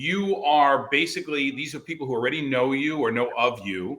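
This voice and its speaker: This man has a fairly high pitch and an American accent, and his pitch varies in an ordinary way. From New Jersey, US. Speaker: network marketing leader. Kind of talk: podcast interview.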